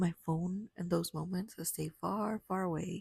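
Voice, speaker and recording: The voice is calm and somewhat breathy, moving at a fairly slow pace with a dry, close sound and no echo. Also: woman. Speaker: podcast host working late shifts and several jobs. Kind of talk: reflective solo podcast monologue, honest talk to the listener. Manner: quiet, soft-spoken, calm, intimate, sometimes whispered.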